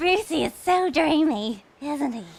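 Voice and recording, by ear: A woman puts on a high-pitched character voice with vocal fry. Her intonation is lively and her pace fairly slow.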